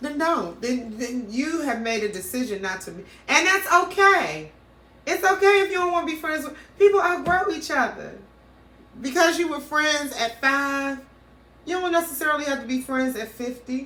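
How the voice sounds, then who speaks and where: In a raised, projected voice, a woman speaks at a high pitch with a bright, sharp tone and lively intonation at a moderate pace. Her loudness swings widely, and room echo is audible. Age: 50s. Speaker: podcast co-host. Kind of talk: casual chat.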